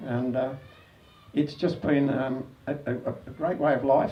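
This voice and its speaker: Speaking at a medium pitch with fairly even intonation, a man with an Australian accent is heard with audible room echo. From Australia, Sydney (Sans Souci). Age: 70s. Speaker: spearfishing club founder. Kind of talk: anniversary speech. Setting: club event with audience. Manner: casual, hesitant with fillers.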